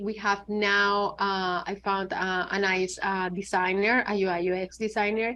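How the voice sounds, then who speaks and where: Against a quiet background, a woman with a Spanish accent speaks in a bright, sharp tone. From Venezuela. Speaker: app founder and designer. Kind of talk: interview.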